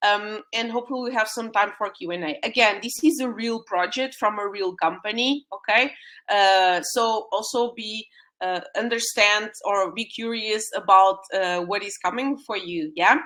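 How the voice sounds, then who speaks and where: A bright, sharp tone in a Portuguese accent, at a moderate pace with ordinary pitch variation. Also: woman, fairly high pitch for a woman. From Portugal. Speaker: UX designer and mentor. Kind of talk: webinar presentation. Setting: live online stream. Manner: hesitant, many fillers.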